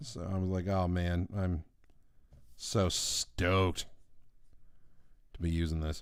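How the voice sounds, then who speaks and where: Relaxed in tone, a man with a very deep, low pitch talks very slowly, with long, frequent pauses and fairly even intonation. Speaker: artist streaming live drawing. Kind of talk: casual live stream chat. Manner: relaxed, filler-heavy. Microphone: new microphone picking up low end.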